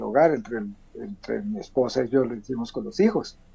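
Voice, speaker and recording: This is a man's voice. His pitch is fairly high. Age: 60s. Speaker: author. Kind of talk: interview. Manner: halting.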